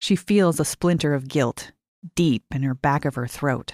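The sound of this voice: A woman speaks low for a woman, at a fairly slow pace, with lively intonation and a slightly mellow tone. The recording is very clean, with a silent background. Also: dry, close sound with no echo.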